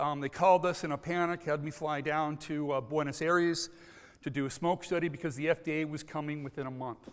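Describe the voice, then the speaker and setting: Talking at a fairly quick pace with an American accent, a man uses a fairly high pitch with ordinary pitch variation. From United States. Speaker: contamination control consultant. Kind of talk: conference presentation. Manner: frequent filler words and hesitations.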